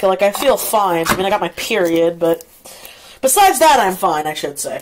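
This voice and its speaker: A woman speaks with very wide swings in pitch over noticeable background noise. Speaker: vlogger. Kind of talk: casual vlog talk. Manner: rambling, scattered.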